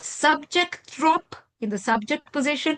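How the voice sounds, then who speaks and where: In an Italian accent, a woman speaks at a fairly slow pace with lively intonation, recorded dry and close with no echo against a quiet background. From Italy. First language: Italo-Romance language of Italy. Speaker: professor. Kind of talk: lecture.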